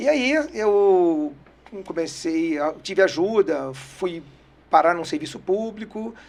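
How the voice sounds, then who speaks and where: A man with a high pitch talks at a very slow pace, his intonation lively. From Brasília, Brazil (moved from Rio at age 7). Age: 50s. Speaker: accountant, business owner. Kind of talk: interview.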